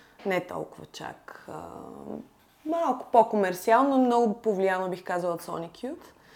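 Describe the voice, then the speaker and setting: Speaking in a plain, everyday voice, a woman keeps a medium pitch and a moderate pace with lively intonation. Her loudness swings widely. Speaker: visual artist. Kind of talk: casual chat.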